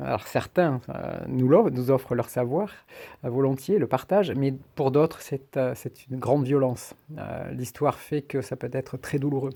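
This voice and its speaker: A man with a dark, mellow tone and medium pitch speaks at a moderate pace with ordinary pitch variation, in a very clean recording with a silent background. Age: 60s. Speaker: shamanic practitioner. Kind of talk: personal monologue. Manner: halting, many hesitations.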